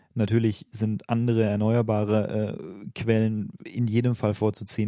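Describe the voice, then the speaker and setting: A man with a slight Bavarian accent talks in a dark, mellow tone at a fairly low pitch. He speaks in a flat monotone with hardly any pauses. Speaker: podcast co-host. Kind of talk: casual chat.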